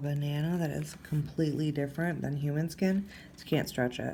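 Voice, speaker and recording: Speaking at a fairly quick pace, a woman has a somewhat breathy voice with a dark, mellow tone and audible room echo. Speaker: cosmetic tattoo artist. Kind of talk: tutorial. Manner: casual.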